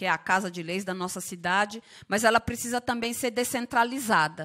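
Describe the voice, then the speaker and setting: A woman's voice rises fairly high with a bright, sharp tone. The background is quiet. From Osasco north zone, São Paulo. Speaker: union leader and party official. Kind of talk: public hearing speech. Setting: council chamber. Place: hall. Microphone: podium.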